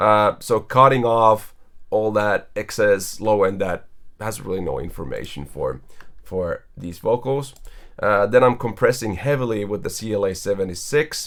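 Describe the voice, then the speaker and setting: Moderate pace with ordinary pitch variation. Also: man, fairly low pitch for a man. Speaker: audio plugin company creator. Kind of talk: tutorial. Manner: hesitant with fillers. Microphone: new bright Sony C80 vocal mic.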